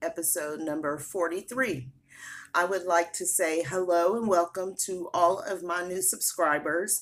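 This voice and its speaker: A woman speaks at a fairly low pitch. Her pace is fairly slow. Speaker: cross-stitch vlogger. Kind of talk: casual chat. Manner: halting, many fillers.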